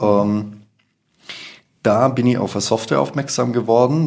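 A man is talking at a moderate pace. His pitch varies in an ordinary way. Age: 20s. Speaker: entrepreneur and sales consultant. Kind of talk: interview. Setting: office.

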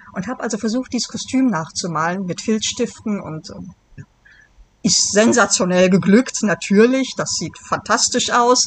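Speaking in a medium pitch at a moderate pace, a woman shows ordinary pitch variation and big swings in loudness. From Germany, Bonn (Rhineland). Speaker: novelist. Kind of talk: interview.

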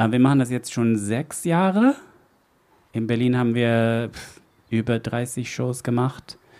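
A man speaking at a very slow pace, with long, frequent pauses and ordinary pitch variation. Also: medium pitch for a man. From Netherlands. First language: Dutch (speaking German). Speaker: event host. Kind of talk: live event hosting. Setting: stage with audience. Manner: halting, with fillers.

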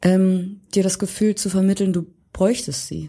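Over a silent background in a very clean recording, a woman talks at a fairly slow pace with a medium pitch and a somewhat breathy, dark, mellow tone. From Hamburg, Germany. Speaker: pop musician. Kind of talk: casual interview.

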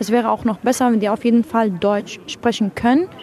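Over noticeable background noise, a woman speaks with a fairly high voice. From Syria. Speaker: young refugee interviewee. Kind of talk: interview. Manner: halting.

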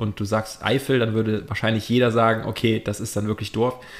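Here a man has an unremarkable speaking voice, pitched medium and moving at a moderate pace. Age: 30s. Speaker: podcast co-host. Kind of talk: casual chat.

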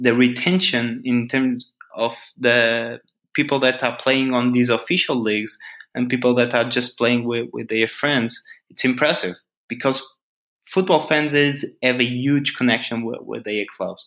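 At a fairly slow pace, a man talks in a medium-pitched voice. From Portugal. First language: Portuguese. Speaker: startup founder. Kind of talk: interview.

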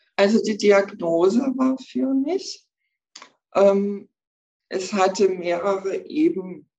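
Very slow woman's voice with long, frequent pauses, a dark, mellow tone, medium pitch and lively intonation. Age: 60s. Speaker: breast cancer survivor, energy healer. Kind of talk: interview, personal testimony. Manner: hesitant, many fillers.

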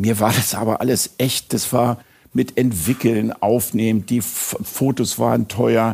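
A man with vocal fry speaks very slowly at medium pitch, his loudness very even and his intonation fairly even. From Münster, Germany. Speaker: podcast host. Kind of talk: interview.

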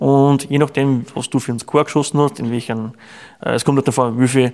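His pitch sits at a medium level and his intonation stays fairly even. The man delivers his words at a very fast pace. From Austria. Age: 30s. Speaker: chimney sweep and archer. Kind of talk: casual interview.

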